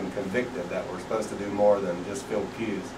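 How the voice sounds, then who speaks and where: An American accent marks this man's speech, which has a fairly low pitch and fairly even intonation over noticeable background noise. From Pennsylvania, USA. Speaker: street preacher. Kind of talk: interview answer. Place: home room. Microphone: camera far.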